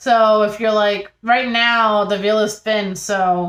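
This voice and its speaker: The delivery is monotone and flat, captured in a very clean recording with a silent background. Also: woman. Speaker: tarot reader. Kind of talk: tarot reading monologue. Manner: slow with pauses.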